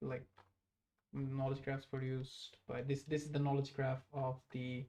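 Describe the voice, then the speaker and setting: The speaker has a Bengali accent. The pace is fairly slow. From Bangladesh (Dhaka). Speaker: master's student livestreamer. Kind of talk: live-stream chat explaining research. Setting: live stream. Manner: halting, many fillers.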